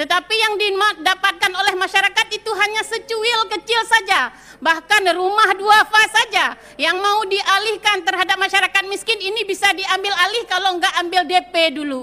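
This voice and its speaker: A raised, projected voice with a bright, sharp tone, ordinary pitch variation, a moderate pace and hardly any pauses. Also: woman, extremely high pitch for a woman. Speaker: provincial legislator. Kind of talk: parliamentary speech. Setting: parliament plenary chamber. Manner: impassioned.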